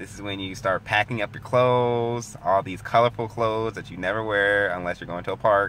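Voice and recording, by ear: Intonation keeps fairly level. The tone comes across bright and sharp. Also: man.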